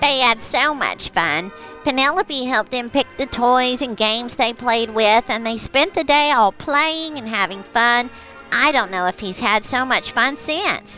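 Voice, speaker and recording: A cartoonish character voice, female-sounding and high-pitched, at a moderate pace with clear music in the background. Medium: puppet. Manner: warm, chatty, hesitant.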